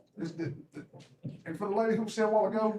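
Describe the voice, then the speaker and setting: A man's high voice in a Southern US accent at a very fast pace. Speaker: public commenter. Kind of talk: public comment at meeting. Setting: county commission meeting. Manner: animated.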